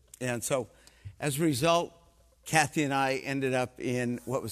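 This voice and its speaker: A man's medium-pitched voice, a normal speaking voice with ordinary pitch variation, on a very clean recording with a silent background. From Canada. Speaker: missionary preacher. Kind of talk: sermon. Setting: church.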